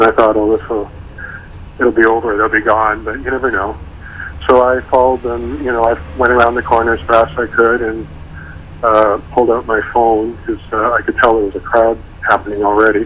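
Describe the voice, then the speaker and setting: Over noticeable background noise, a man with a medium pitch talks at a fairly quick pace with fairly even intonation and long, frequent pauses. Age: 60s. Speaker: retired photographer, interviewee. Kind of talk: radio interview.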